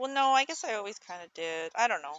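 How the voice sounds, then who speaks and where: Mumbling at a fairly quick pace, a woman speaks with lively intonation. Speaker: streamer. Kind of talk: casual chat. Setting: live stream. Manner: halting.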